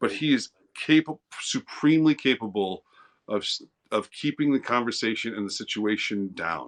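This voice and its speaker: A man speaks at a moderate pace with an American accent. His pitch is medium and his intonation lively. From East St. Louis, Illinois. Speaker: livestreamer. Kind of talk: casual chat. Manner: loud; animated.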